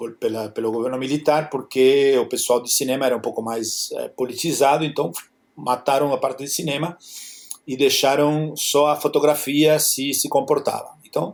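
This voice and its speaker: Speaking with a Spanish accent, the man has a fairly high pitch. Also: fairly even intonation, moderate pace. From Argentina, Buenos Aires. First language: Spanish (speaking Portuguese). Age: 60s. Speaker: photographer. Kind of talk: interview. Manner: halting.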